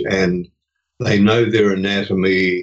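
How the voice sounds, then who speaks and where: A man with a New Zealand accent talks at a very slow pace, with ordinary pitch variation. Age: 80s+. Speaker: retiree and hospice volunteer. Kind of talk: interview conversation.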